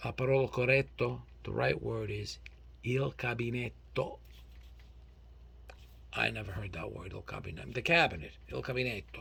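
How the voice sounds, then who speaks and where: With an American accent, a man speaks at a moderate pace. His loudness swings widely, and he takes long, frequent pauses. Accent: North Jersey Italian American. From North Jersey. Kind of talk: casual talk to camera.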